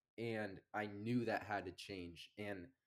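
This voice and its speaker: A man speaks in a normal speaking voice with an American accent. His pitch is fairly low, with ordinary variation. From US Northeast (Amherst, Massachusetts). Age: 20s. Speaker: landscaping business owner. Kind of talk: casual chat.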